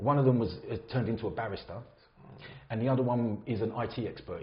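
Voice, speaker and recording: A man speaks with an English accent. His voice is somewhat breathy and medium in pitch. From England, Luton. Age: 50s. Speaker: builder sharing his conversion story. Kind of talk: podcast interview, personal story. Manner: casual, conversational.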